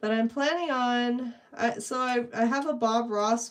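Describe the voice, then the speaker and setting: A woman speaks quietly at a very slow pace. Her pitch sits fairly high, with ordinary variation. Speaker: painting livestreamer. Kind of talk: casual livestream chat. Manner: trying to talk quieter.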